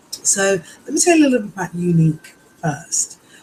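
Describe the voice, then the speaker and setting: The voice carries a British accent. The pace is fairly quick. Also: woman. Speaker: direct sales presenter. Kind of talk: sales pitch. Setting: live webinar recording. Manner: hesitant, many fillers.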